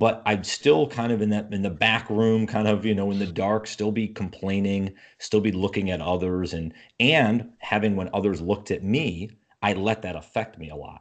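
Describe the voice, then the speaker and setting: A man with an American accent speaks at a moderate pace in a fairly low pitch, with ordinary pitch variation, an unremarkable speaking voice, and a quiet background. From upstate New York. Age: 30s. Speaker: entrepreneur and podcaster. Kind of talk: casual interview conversation.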